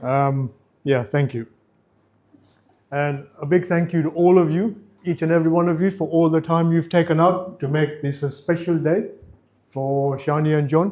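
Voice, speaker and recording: Here is a man with a fairly high voice and a dark, mellow tone. He leaves long, frequent pauses. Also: moderate pace. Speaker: father of the bride. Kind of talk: wedding speech. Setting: wedding reception with audience. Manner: mumbling; halting.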